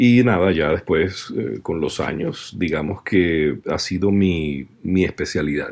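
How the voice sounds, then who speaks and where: A man's very deep, low voice with vocal fry, at a very slow pace and with hardly any pauses. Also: ordinary pitch variation. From Venezuela. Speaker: voice actor. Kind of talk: interview.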